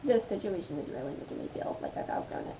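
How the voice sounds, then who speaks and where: With a room echo you can clearly hear and a good deal of noise behind her, a woman talks in a lively, up-and-down tone. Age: 20s. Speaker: vlogger. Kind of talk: casual chat. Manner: rambling with many fillers.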